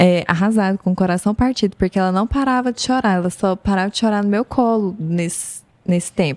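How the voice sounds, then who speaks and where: A woman's medium-pitched, plain, everyday voice at a moderate pace, with ordinary pitch variation, a dry, close sound with no echo, and a very clean recording with a silent background. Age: 30s. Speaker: former fashion designer and marketer. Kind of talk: casual chat.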